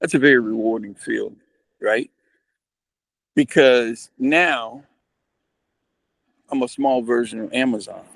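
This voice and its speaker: Long, frequent pauses in a man's fairly slow, medium-pitched speech with ordinary pitch variation. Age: 60s. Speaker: business owner. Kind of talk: casual chat. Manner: halting.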